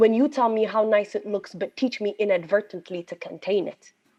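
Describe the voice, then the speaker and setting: Speaking at a moderate pace, a woman with an Ethiopian accent shows ordinary pitch variation. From Ethiopia, Addis Ababa. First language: Amharic. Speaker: poet and journalist. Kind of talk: poetry performance. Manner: forceful, defiant delivery.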